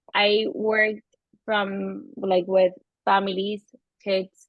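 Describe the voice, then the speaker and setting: Speaking with a Venezuelan accent, a woman keeps a medium pitch and fairly even intonation. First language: Spanish. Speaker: therapist. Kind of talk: interview.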